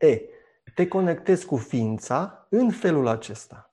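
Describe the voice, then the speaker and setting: A man's high-pitched voice with a dark, mellow tone, very slow in pace, pitch swinging very widely, over a quiet background. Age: 50s. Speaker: university lecturer and journalist. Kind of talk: casual chat.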